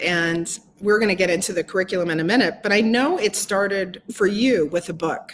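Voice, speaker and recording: In a normal speaking voice, a woman talks at a fairly quick pace with hardly any pauses, using medium pitch and ordinary pitch variation. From Canada. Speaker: interview host. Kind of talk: interview. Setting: live video stream.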